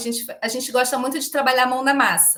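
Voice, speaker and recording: At a fairly quick pace, a woman talks in an animated tone. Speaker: volunteer organizer of a regenerative economics movement. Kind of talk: podcast interview. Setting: live-streamed video call. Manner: fast.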